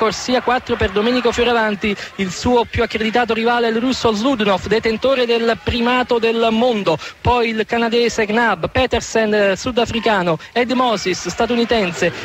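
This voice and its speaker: A man speaks at an extremely high pitch with fairly even intonation and very even loudness. The sound is dry with no echo, with music in the background. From Naples, Italy. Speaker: radio sports commentator. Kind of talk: live radio sports commentary. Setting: radio broadcast. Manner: fast, informative.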